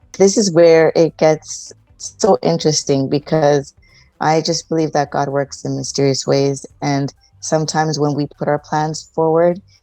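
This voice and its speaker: Music plays in the background as the speaker goes at a fairly slow pace. The sound is dry and close with no echo, and the intonation is fairly even. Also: woman, very deep, low pitch for a woman. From Toronto, Canada. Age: 40s. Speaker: relationship counsellor. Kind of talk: interview.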